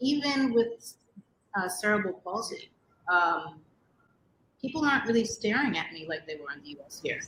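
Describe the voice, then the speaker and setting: Speaking with a New York accent at a moderate pace, a woman uses a fairly high pitch with very wide pitch swings, big swings in loudness, and long, frequent pauses. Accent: New York American English. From New York City. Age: 40s. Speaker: interviewee, expat. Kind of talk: interview.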